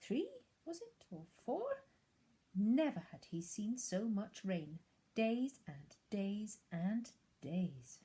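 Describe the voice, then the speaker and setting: Somewhat breathy, a woman speaks at a fairly high pitch with a dark, mellow tone. Her pitch swings very widely. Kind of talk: storybook narration.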